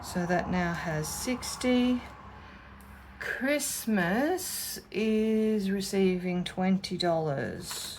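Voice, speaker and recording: Speaking at a very slow pace with an Australian accent, a woman uses lively intonation at medium pitch amid audible room echo. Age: 50s. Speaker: budgeting vlogger. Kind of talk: casual chat. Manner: chatty.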